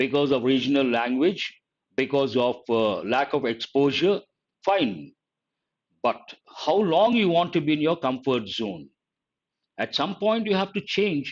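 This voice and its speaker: With an Indian accent and a fairly high pitch, a man talks at a fairly slow pace, his pitch swinging very widely between long, frequent pauses. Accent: Indian English (Telugu). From Telugu-speaking South India. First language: Telugu. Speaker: English teacher. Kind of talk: live online lecture. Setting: live stream.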